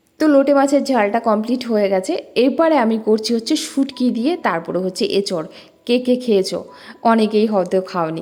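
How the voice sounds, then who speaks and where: A woman speaks at a fairly high pitch with lively intonation. Her loudness stays very even throughout. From East Bengali. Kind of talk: casual, friendly, cooking vlog.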